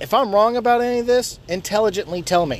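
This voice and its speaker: A man speaks in a furious, animated tone. Background noise is noticeable. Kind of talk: angry rant, profanity-laden, shouted in the first person. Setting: in a car, driving. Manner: loud, furious, animated, with sarcastic outbursts and emphatic cursing; fast, stumbling and restarting sentences, self-interrupting.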